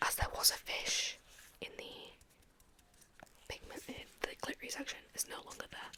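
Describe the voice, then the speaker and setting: A woman is whispering. Noticeable background noise is in the recording. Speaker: ASMR creator. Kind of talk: ASMR roleplay, personal attention. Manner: soft-spoken, whispering.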